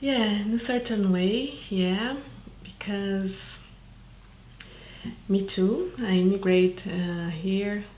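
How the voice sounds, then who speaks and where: A woman with a Brazilian accent speaks at a medium pitch, very slowly, with fairly even intonation and long, frequent pauses. Audible room echo surrounds her voice. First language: Portuguese. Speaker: documentary filmmaker. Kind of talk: interview. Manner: halting, many fillers.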